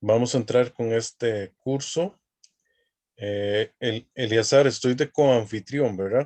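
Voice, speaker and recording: A man speaks very slowly with a Costa Rican accent, a medium pitch and fairly even intonation. The sound is dry and close, with no echo. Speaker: academic dean and youth ministry lecturer. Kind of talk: online lecture.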